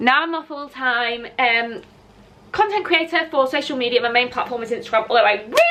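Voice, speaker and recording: Over noticeable background noise, a woman with a northern English accent talks at a fairly quick pace in a high pitch, her intonation lively. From northern England, Lancashire. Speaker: content creator, former teacher. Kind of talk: casual chat. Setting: outdoors. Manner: animated.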